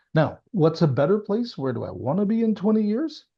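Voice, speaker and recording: Swinging very widely in pitch, a man's somewhat breathy voice carries the speech. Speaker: former senior government official. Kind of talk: interview conversation. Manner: emphatic.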